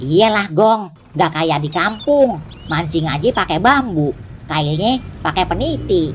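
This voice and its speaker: A cartoonish character voice at a middle pitch moves along fairly slowly over clear background noise. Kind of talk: cartoon dialogue. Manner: casual, joking.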